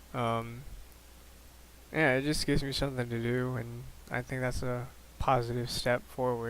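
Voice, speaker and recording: A soft-spoken man at a medium pitch and moderate pace, with monotone, flat intonation. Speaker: vlogger sharing mental health journey. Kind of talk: personal vlog monologue. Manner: halting, many fillers and repeats.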